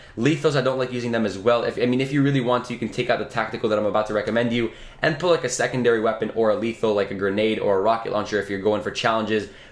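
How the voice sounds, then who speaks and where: Very fast speech from a man, noticeable background noise behind it. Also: medium pitch for a man, hardly any pauses. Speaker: gaming youtuber. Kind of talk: gameplay tutorial. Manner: animated.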